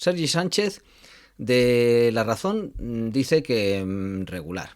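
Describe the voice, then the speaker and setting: Very slowly, a man talks with very wide pitch swings. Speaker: film radio show host. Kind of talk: casual interview chat.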